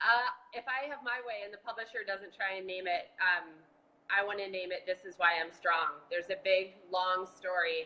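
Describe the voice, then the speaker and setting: With an American accent, a woman speaks in a normal speaking voice at medium pitch, with ordinary pitch variation, a moderate pace and big swings in loudness. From Boston. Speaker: marathon bombing survivor and advocate. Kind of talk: casual chat. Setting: video call.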